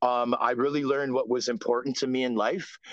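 A man with a Canadian accent speaks at a moderate pace and medium pitch in an unremarkable speaking voice. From Canada (Ontario). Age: 40s. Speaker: former professional hockey player. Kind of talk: casual interview.

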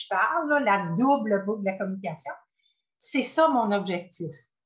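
In an animated tone, a woman speaks at a fairly slow pace with very wide pitch swings. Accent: Quebec. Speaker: voice coach. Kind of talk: casual interview chat.

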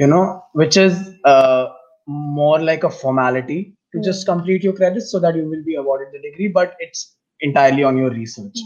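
A man speaks at a fairly quick pace with an Indian accent. His pitch is fairly high, and music plays in the background. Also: ordinary pitch variation, big swings in loudness. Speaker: international master's student. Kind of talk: casual interview chat.

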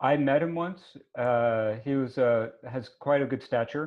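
Speaking at a fairly slow pace, a man keeps a medium pitch with ordinary pitch variation.

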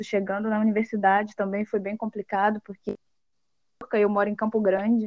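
Speaking at a moderate pace with a fairly high pitch, a woman has a plain, everyday voice, recorded with a dry, close sound and no echo. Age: 20s. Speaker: accountant and auditor. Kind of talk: interview.

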